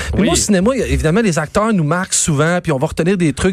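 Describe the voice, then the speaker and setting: Pitch variation in this man's speech is ordinary. He delivers his words at a very fast speed. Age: 40s. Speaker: quiz panelist. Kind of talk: casual quiz show banter.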